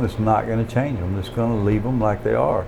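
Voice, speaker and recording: A man with a Southern US accent and fairly low pitch talks very fast in a monotone, flat intonation, with noticeable background noise and audible room echo. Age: 50s. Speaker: rooster breeder. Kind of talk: interview.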